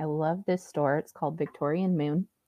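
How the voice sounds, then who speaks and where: A woman with a normal speaking voice talks at a fairly low pitch, her intonation fairly even. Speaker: psychic medium and oracle card reader. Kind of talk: casual interview chat.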